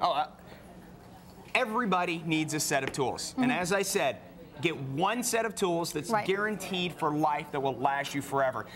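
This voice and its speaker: A man talks in a high pitch with lively intonation. His pace is moderate, and there is noticeable background noise. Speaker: TV host. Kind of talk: live home shopping TV pitch.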